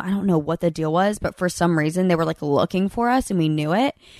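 Over a quiet background, a woman with a Southern US accent speaks at a fairly quick pace and fairly low pitch, with ordinary pitch variation and a dry, close sound with no echo. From Alabama, Birmingham. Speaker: reality TV alum. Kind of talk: casual chat. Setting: in person at a lake house.

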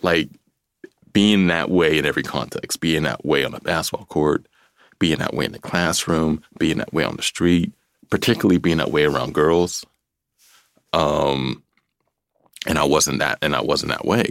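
A man with a very deep, low voice and vocal fry talks at a moderate pace. He leaves long, frequent pauses. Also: ordinary pitch variation. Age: 40s. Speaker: author. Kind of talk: interview. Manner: halting.

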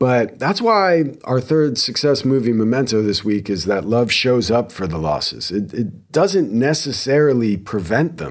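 Using an American accent, a man talks at a fairly slow pace. His medium-pitched voice makes very wide pitch swings. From New Jersey. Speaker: podcast host, former lawyer. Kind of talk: solo podcast commentary. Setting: studio recording.

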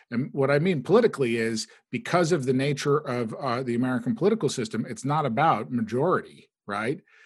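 A man talks fairly quickly at a medium pitch, with lively intonation and hardly any pauses. His is an unremarkable speaking voice. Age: 40s. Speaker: digital political strategist. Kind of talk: casual chat.

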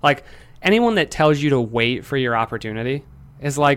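Recorded very cleanly with a silent background, a man with an ordinary speaking voice and an American accent speaks at a moderate pace in a fairly high pitch with ordinary pitch variation. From Michigan, Lansing. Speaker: entrepreneur. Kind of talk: casual chat.

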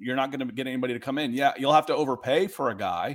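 In a very clean recording with a silent background, a plain, everyday voice speaks in an American accent with ordinary pitch variation. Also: man. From US South, Atlanta, Georgia. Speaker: sports analyst. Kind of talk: casual chat.

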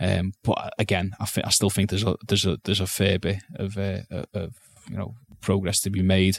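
Fairly quick, monotone, flat delivery in a dry, close sound with no echo. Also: man, fairly low pitch for a man. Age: 30s. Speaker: sports journalist. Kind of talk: personal testimony interview. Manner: halting, many repetitions.

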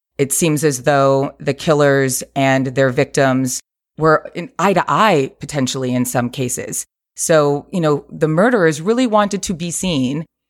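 This woman has a very deep, low pitch and an American accent, and her pitch varies in an ordinary way. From New York. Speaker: TV and podcast producer. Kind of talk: casual interview. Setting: video call.

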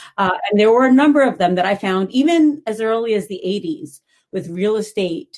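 Somewhat breathy, a woman with an American accent lets her pitch swing very widely. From New York City. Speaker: anthropology professor. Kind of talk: interview.

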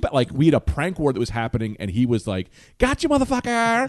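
Very fast speech with an American accent, in a dry, close sound with no echo. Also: man. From New Jersey (Bloomfield, near Newark). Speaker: stand-up comedian. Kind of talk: casual chat. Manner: animated storytelling.

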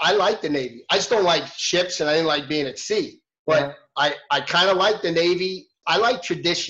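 A man talks with a high pitch and a bright, sharp tone. His pace is moderate. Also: ordinary pitch variation. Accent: American. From New York City. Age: 50s. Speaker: retired military helicopter pilot. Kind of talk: casual interview. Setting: video call.

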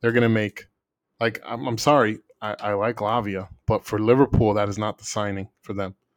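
A man with a plain, everyday voice speaks at a fairly low pitch and a moderate pace. His intonation is fairly even, and the sound is dry and close, with no echo. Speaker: podcast host.

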